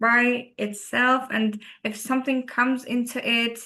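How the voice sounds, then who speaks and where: With a Turkish accent, a woman speaks at a fairly slow pace in a bright, sharp tone with monotone, flat intonation. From Turkey. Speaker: rally co-driver and engineer. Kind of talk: interview. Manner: halting, many fillers.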